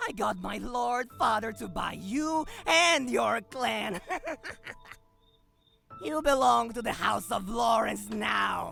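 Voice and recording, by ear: At a slow pace, a put-on character voice with vocal fry and a bright, sharp tone carries lively intonation. Faint music plays in the background.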